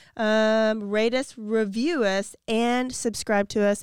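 Fairly even intonation comes through a dry, close sound with no echo on a very clean recording with a silent background. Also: woman. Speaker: true crime podcast co-host. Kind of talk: casual chat. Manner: speaking softly.

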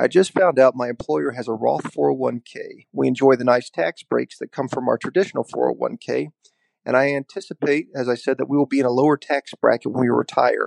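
The recording is dry and close, without echo. A man speaks fairly quickly. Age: 30s. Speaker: listener caller. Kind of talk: recorded voicemail question.

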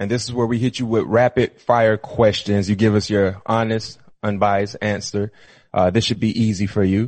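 A man with a fairly low pitch speaks in a monotone, flat intonation at a moderate pace. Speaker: podcast co-host. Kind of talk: casual sports chat.

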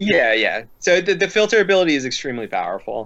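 Speaking at a fairly quick pace with lively intonation, a man with an American accent has an ordinary speaking voice. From Philadelphia area, US. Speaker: card game player. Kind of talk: casual chat. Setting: live stream.

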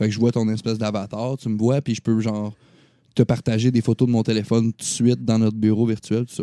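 A man with a Quebec accent, medium pitch and a dark, mellow tone, speaking at a very fast pace in a monotone, flat intonation, with a dry, close sound with no echo on a very clean recording with a silent background. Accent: Québécois French. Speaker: gaming podcast host. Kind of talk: casual chat.

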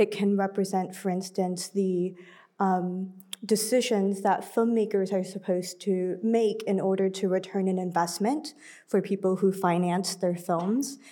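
A woman with a dark, mellow tone speaks at a fairly slow pace and medium pitch, her loudness very even and her intonation fairly even. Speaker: film curator. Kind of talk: panel discussion. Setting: stage with audience.

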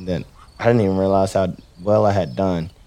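With a Texas accent, a man speaks at a fairly quick pace in a fairly low pitch, his tone dark and mellow and his intonation fairly even. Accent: Texas Southern. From Texas, Rockdale. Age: 20s. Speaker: professional bull rider. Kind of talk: interview storytelling.

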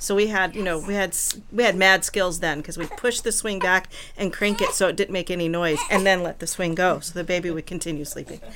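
A woman at a medium pitch and fairly quick pace, fairly even intonation, noticeable background noise. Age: 50s. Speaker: birth doula and mother. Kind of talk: panel discussion.

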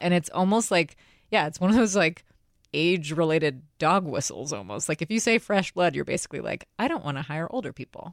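A woman speaks in a plain, everyday voice at a fairly low pitch and a moderate pace. Her intonation is lively on a very clean recording with a silent background. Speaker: podcast co-host. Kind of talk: casual chat.

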